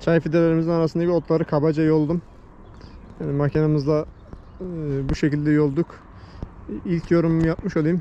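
A man speaks fairly quickly in a fairly high voice with a dark, mellow tone. His pitch moves little, and he takes long, frequent pauses.

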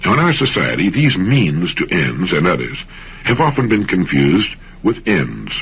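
At a moderate pace, a man with a very deep, low pitch speaks with very wide pitch swings. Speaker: motivational radio host. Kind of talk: motivational radio talk. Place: studio.

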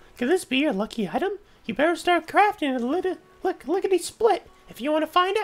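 An extremely high-pitched, put-on character voice at a fairly quick pace. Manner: playful.

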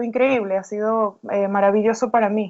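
A woman speaks at a moderate pace in a monotone, flat intonation. The background is quiet. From Venezuela, Caracas. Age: 30s. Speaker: writer. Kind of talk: interview. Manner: halting.

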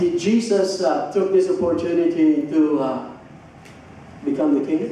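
Strong room echo and light background noise surround a man with a high pitch. He speaks at a fairly slow pace with ordinary pitch variation. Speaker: preacher. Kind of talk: sermon. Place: church.

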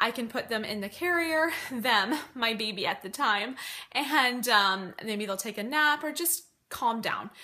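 Her intonation is lively as a woman raises and projects her voice. The background is quiet. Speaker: mom vlogger. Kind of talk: casual vlog chat. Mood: friendly, chatty. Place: home room. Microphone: phone near.

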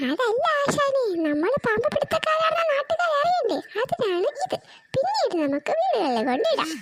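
A woman's cartoonish character voice at an extremely high pitch, with very wide pitch swings and very even loudness. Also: moderate pace. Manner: eager, wheedling.

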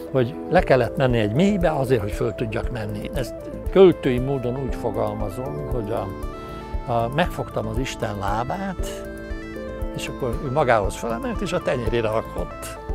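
A man talks at a moderate pace. Clear music plays behind him. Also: dry sound with no echo. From Hungary. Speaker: animated film director. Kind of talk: interview answer. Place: garden. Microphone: lapel.

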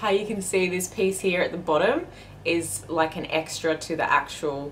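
Speaking at a fairly slow pace with an Australian accent, a woman has a fairly low pitch over light background noise. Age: 30s. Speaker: fashion vlogger. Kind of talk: casual haul video talk. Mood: upbeat, enthusiastic. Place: home room. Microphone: camera far.

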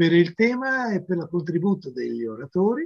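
Against a quiet background, a man talks fairly slowly in a high voice with very wide pitch swings. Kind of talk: welcome speech. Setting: video call. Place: home room. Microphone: webcam.

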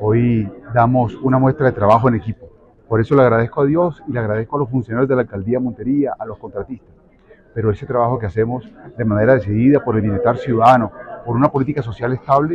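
A man speaks at a very fast pace with fairly even intonation, in a dry sound with no echo and light background noise. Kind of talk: interview answer. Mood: grateful, pleased. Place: hall. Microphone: handheld.

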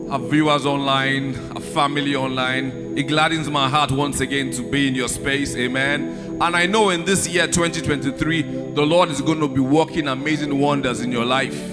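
Over clear background music, a man talks at a moderate pace with ordinary pitch variation and hardly any pauses. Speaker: church minister introducing the sermon. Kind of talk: sermon introduction. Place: church. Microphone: handheld.

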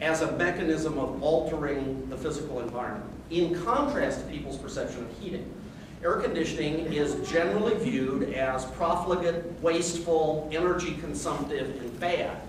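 Amid noticeable background noise and audible room echo, a man speaks at a moderate pace with ordinary pitch variation. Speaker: conference speaker. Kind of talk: talk to audience. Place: meeting room. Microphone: camera far.

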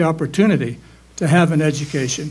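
A man's pitch varies in an ordinary way as he talks at a fairly quick pace. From Pittsburgh, Western Pennsylvania. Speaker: dentist and council candidate; council candidate. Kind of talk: candidate forum. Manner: halting. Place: classroom. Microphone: handheld.

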